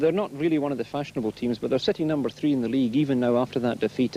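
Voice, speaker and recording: A man with a Glaswegian accent talks very fast in a fairly high voice. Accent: Glaswegian Scottish. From Glasgow, Scotland. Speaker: speedway interviewer. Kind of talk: trackside sports interview. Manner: jokey, teasing.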